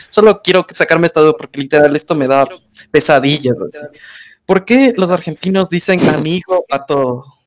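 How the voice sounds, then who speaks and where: In an unremarkable speaking voice, a man with a fairly high pitch and lively intonation talks at a moderate pace, the sound dry and close with no echo. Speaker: podcast co-host. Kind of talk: casual chat.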